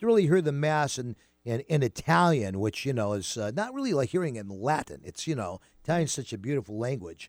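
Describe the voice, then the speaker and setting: The speaker talks at a very fast pace with an American accent and very wide pitch swings. The sound is dry and close with no echo, on a very clean recording with a silent background. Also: man, medium pitch for a man. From US Northeast. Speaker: radio host. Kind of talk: casual chat. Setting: studio.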